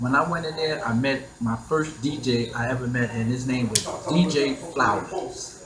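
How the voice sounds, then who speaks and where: Noticeable background noise and audible room echo surround a man with a New York accent who speaks at a moderate pace and medium pitch. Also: ordinary pitch variation. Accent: New York City. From Queens, New York City. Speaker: hip hop DJ pioneer. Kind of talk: interview storytelling. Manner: halting with many repetitions.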